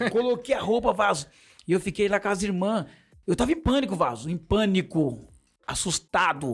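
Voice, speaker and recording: A man's high voice with very wide pitch swings and long, frequent pauses at a moderate pace, on a very clean recording with a silent background. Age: 40s. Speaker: missionary and church deacon. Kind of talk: testimony.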